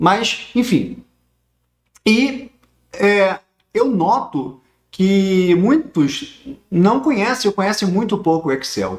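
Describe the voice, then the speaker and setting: A man speaks in a high-pitched voice. His intonation is lively. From Rio de Janeiro, Brazil. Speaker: teacher of social security law. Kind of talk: online lecture. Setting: livestream on YouTube.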